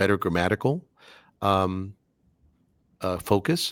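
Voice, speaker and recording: A man with a Spanish accent is heard in a dry, close sound with no echo on a very clean recording with a silent background. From Cuban American, US. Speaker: English teacher and voice actor. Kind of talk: podcast interview. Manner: clear, articulate.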